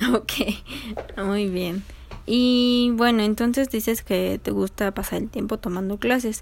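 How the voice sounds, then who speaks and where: At a very slow pace, a woman speaks with fairly high pitch and fairly even intonation. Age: 20s. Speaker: psychology student interviewer. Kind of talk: research interview.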